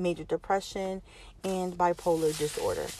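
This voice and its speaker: At a moderate pace, a woman speaks in a normal speaking voice of medium pitch. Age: 30s. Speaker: podcast host. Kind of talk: personal monologue.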